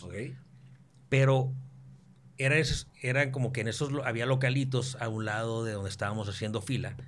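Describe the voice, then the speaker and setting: A somewhat breathy man at medium pitch, fairly even intonation and a fairly quick pace, with audible room echo. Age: 30s. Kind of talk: casual chat.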